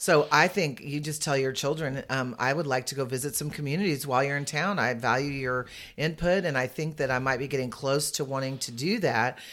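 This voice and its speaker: In an American accent, a woman with a very deep, low voice talks at a fairly quick pace with ordinary pitch variation and hardly any pauses. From San Antonio, Texas. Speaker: senior living placement advisor. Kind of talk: casual interview.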